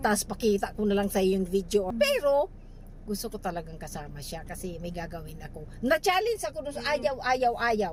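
Animated female voice with big swings in loudness amid noticeable background noise. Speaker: vlogger. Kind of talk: casual vlog chat. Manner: animated, laughing often.

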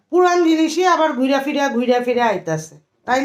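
With audible room echo, a woman speaks in a high voice with lively intonation. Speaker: vlogger. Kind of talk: vlog narration; casual family chat.

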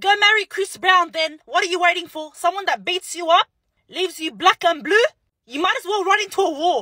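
A woman's raised, projected voice with a bright, sharp tone and ordinary pitch variation, dry with no echo, over a quiet background. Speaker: social media creator. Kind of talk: casual vlog rant. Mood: sassy, exasperated. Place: car. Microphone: phone near.

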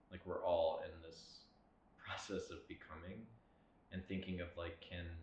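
Audible room echo around a man's very slow speech. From South Louisiana (Lafayette). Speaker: painter. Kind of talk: artist interview monologue. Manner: reflective, with frequent filler words.

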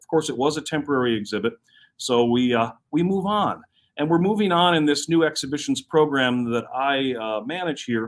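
Lively intonation from a man at a moderate pace, with big swings in loudness. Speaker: presenter. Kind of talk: presentation to live stream viewers. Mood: enthusiastic, upbeat. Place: hall. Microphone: phone near.

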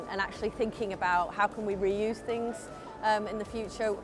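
Over clear music in the background, a woman speaks at a fairly quick pace with fairly even intonation, the sound dry with no echo. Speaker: factory operations manager. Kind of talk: interview answer. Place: hall. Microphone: lapel.

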